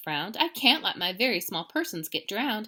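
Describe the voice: The text is given as plain reading aloud.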